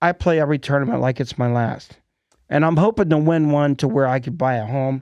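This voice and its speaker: A man talks at a fairly quick pace in a plain, everyday voice, fairly high in pitch with ordinary pitch variation. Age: 60s. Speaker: podcast host. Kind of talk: casual chat. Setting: studio.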